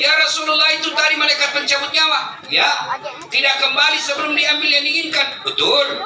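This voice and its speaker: Over noticeable background noise and audible room echo, a man uses a raised, projected voice at an extremely high pitch and a moderate pace. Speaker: Islamic preacher. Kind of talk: sermon. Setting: public religious gathering with PA system. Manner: animated storytelling.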